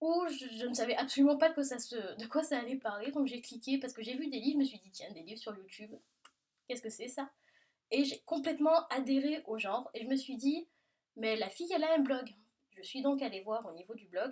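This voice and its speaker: With a southern French accent, a woman talks at a fairly quick pace in a high pitch with lively intonation. Her loudness swings widely. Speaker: book vlogger. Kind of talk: casual Q&A video monologue. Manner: animated.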